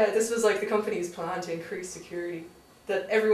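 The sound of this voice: A reading voice, unforced and easy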